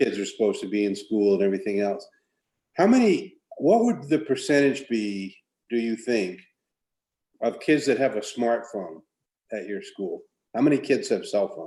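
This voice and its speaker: A man speaks at a moderate pace, with long, frequent pauses. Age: 60s. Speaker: school board member. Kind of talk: committee meeting discussion.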